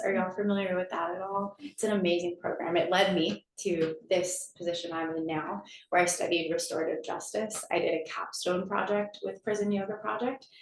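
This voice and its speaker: The speaker has an American accent and talks at a moderate pace with ordinary pitch variation and hardly any pauses. Noticeable background noise runs under the voice. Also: woman. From Connecticut, US. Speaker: nonprofit executive director. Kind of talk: campus talk.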